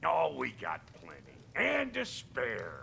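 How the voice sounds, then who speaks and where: Against clear background noise, a gruff, raspy put-on character voice speaks at a very slow pace. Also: man. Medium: video game. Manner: gruff, clipped, streetwise.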